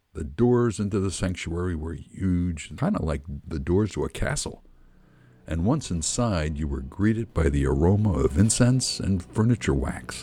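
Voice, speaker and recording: A man with a very deep, low voice, vocal fry and a dark, mellow tone, in an American accent, fairly slow, with very wide pitch swings. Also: very clean recording, silent background. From Philadelphia. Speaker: podcast host and memoirist. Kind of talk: memoir reading, nostalgic storytelling, read aloud from a written text. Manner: wry and nostalgic, with comic timing and punchy asides.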